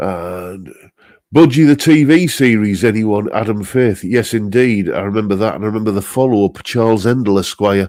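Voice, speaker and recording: With a Northeast English accent, a man speaks at a moderate pace. His pitch is fairly low, with ordinary variation. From northeast England. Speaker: guitarist and live stream host. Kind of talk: casual chat reading live comments. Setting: live stream. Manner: relaxed, many fillers.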